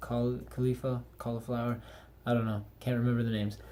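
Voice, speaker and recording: A man speaks with audible room echo. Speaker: anime reviewer. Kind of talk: casual video review. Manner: monotone.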